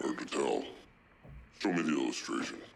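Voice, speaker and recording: A man in a put-on character voice at a fairly quick pace. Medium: short film. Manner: terse, clipped.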